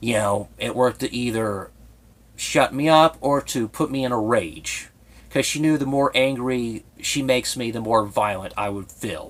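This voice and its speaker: A man talks at a medium pitch. He has a slight Southern Ohio accent. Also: ordinary pitch variation, moderate pace. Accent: slight Southern Ohio twang. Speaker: YouTuber. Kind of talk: personal vlog monologue. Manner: effeminate-sounding speech; tongue clicking, heavy breathing.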